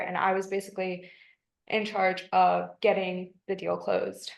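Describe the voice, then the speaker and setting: A woman's medium pitch with an American accent. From US, Washington D.C. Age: 20s. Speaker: virtual assistant job candidate. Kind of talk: job interview. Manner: hesitant, many fillers.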